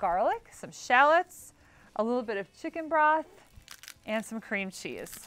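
A woman's lively intonation. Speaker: cooking show host. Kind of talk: tutorial. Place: studio.

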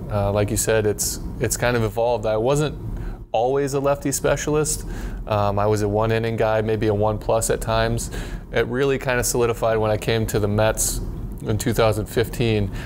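A man talks at a moderate pace with very even loudness over light background noise. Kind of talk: interview answer. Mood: reflective, relaxed. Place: studio. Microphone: lapel.

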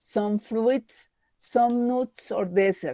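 Her pitch sits fairly high for a woman. The sound is dry and close, with no echo. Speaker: English student. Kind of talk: reading aloud. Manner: halting.

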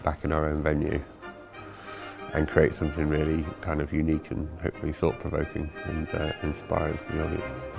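A man talks at a fairly quick pace in a very deep, low voice with monotone, flat intonation. Clear music plays in the background. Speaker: ringmaster and creative director of the event. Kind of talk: documentary interview answer. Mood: calm, reflective. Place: hall.

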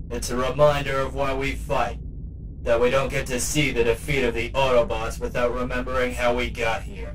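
The speech moves at a moderate pace. Background noise is clearly audible. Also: man. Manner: warm, earnest, reassuring.

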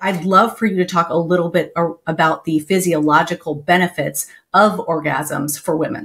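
A woman's fairly low, somewhat breathy voice in an American accent, at a moderate pace with ordinary pitch variation. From Texas. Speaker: podcast host. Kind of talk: interview. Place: home room. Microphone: headset.

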